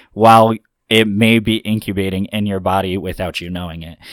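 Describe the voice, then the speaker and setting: A man speaks in a plain, everyday voice, fairly low in pitch and with ordinary pitch variation. His pace is moderate, and the recording is very clean with a silent background. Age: 20s. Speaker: former car dealership owner. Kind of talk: casual chat.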